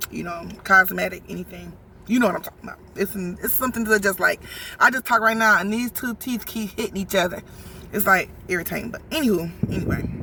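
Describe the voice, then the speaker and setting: Speaking fairly quickly, a woman uses a medium pitch with ordinary pitch variation, vocal fry and big swings in loudness. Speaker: vlogger. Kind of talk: casual chat. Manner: halting.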